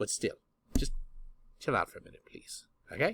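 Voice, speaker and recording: A man's put-on character voice at a moderate pace, with big swings in loudness. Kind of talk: comic overacting. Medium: solo performance. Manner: theatrical, rambling.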